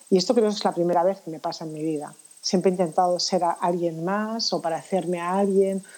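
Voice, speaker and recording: A woman speaks in a fairly low pitch with a dark, mellow tone. Her intonation stays monotone and flat. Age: 50s. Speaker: anti-aging professional. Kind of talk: interview.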